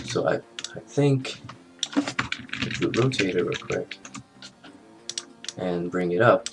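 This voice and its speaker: Music plays in the background. The speech is very slow, with long, frequent pauses. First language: not English. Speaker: animation tutorial maker. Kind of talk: tutorial. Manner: casual, hesitant with fillers.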